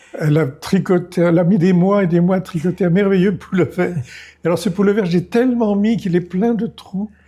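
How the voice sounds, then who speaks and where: At a fairly quick pace, a man with a high voice speaks in fairly even intonation. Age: 90s. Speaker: retired film director and writer. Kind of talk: interview.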